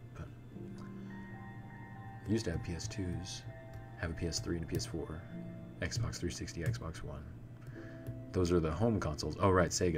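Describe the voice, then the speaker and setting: A man talks at a moderate pace with a very deep, low pitch and very wide pitch swings, leaving long, frequent pauses. Music plays in the background. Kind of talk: ASMR live stream chat. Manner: whispered.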